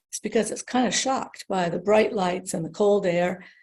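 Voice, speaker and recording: A woman with an American accent, medium pitch, and a somewhat breathy, dark, mellow tone. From United States. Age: 60s. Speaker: former nurse-midwife. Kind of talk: podcast interview. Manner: halting.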